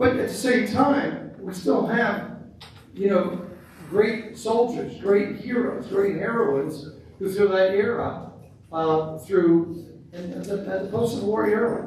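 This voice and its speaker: Speaking at a very slow pace, a man with a high pitch and ordinary pitch variation is heard with audible room echo and noticeable background noise. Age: 70s. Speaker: school board chair. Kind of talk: public meeting remarks. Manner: halting.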